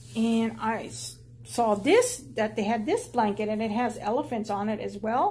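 A woman with a fairly high pitch sounds somewhat breathy at a moderate pace. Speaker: YouTube haul vlogger. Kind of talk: casual haul video monologue. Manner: casual, chatty. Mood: relaxed, cheerful. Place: home room. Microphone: phone near.

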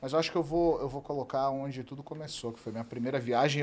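Talking at a very fast pace, a man keeps a fairly high pitch and fairly even intonation. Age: 40s. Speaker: travel content creator, host's husband. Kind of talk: casual chat. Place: studio. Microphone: studio mic.

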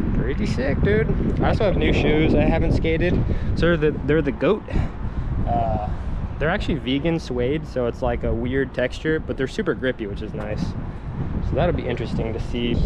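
The sound is dry with no echo, though loud background noise is present. A man speaks at a moderate pace, with long, frequent pauses. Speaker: skateboarder vlogger. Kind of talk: casual vlog chat. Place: street. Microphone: phone near.

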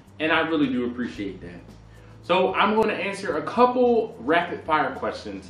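Audible room echo surrounds the voice. A man speaks at a moderate pace. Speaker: barbecue channel host. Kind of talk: casual vlog chat, answering viewer questions. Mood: playful, joking.

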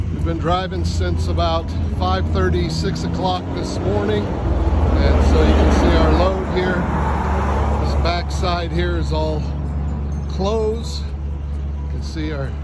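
A very slow pace in a dry sound with no echo, music in the background. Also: man. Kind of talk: casual vlog chat. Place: street. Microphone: phone near.

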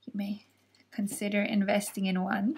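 Somewhat breathy, a woman's voice moves at a moderate pace. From Germany. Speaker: crochet tutorial creator. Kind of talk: tutorial. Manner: calm, friendly and explanatory.

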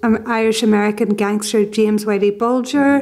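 Over a quiet background, a woman with a fairly high pitch speaks at a fairly slow pace with fairly even intonation. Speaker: podcast host and journalist; podcast host, journalist. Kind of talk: interview. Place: home room. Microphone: studio mic.

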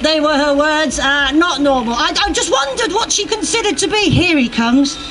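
Light background noise behind a woman speaking. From UK. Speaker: stand-up comedian. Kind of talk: stand-up comedy. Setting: outdoors, stage with audience. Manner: animated, playful. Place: street. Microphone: handheld.

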